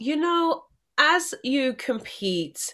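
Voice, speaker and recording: A woman's voice with an English accent makes very wide pitch swings on a very clean recording with a silent background. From England. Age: 40s. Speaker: Olympic athlete and motivational speaker. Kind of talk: interview.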